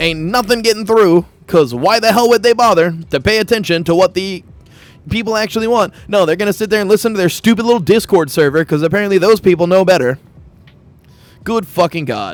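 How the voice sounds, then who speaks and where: Shouting loudly at a fairly quick pace, a man's voice rises to a high pitch. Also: ordinary pitch variation. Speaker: gaming streamer. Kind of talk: gaming livestream rant. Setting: livestream. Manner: loud, yelling.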